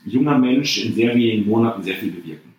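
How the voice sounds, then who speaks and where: The speech runs at a fairly quick pace with audible room echo. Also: man. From Germany, Bocholt area (Münsterland). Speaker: entrepreneur and CEO. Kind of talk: interview conversation.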